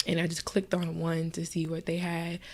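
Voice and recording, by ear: At a moderate pace, a woman speaks in a fairly low, nasal voice with vocal fry.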